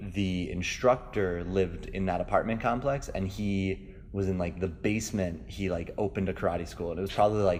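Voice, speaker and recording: At a moderate pace with hardly any pauses, a man speaks at a very deep, low pitch with ordinary pitch variation while music plays in the background. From New York (South Bronx), moved to Minnesota at ten. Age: 20s. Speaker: martial arts instructor. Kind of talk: interview. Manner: hesitant with many fillers.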